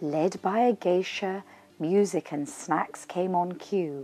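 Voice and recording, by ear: At a slow pace, a woman with fairly low pitch and a dark, mellow tone talks with ordinary pitch variation.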